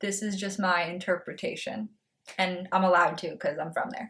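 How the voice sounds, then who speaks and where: An American-accented woman talks at a moderate pace with a medium pitch. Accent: slight Boston accent, comes out sometimes. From Massachusetts, north of Boston. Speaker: booktuber. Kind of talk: casual vlog talk.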